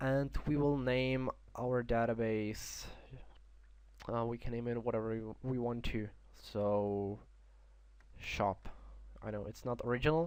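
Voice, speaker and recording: A man with a non-native accent speaks at a fairly slow pace and a medium pitch, leaving long, frequent pauses. His intonation stays fairly even. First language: not English. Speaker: software tutorial creator. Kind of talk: tutorial. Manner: halting, many fillers.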